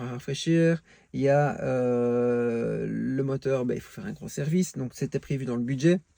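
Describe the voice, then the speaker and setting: In a Belgian accent, a dark, mellow voice at a moderate pace shows ordinary pitch variation and big swings in loudness, with a dry, close sound and no echo. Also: man, quiet background. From Belgium. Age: 40s. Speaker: car enthusiast vlogger. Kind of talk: casual vlog monologue. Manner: hesitant, many fillers.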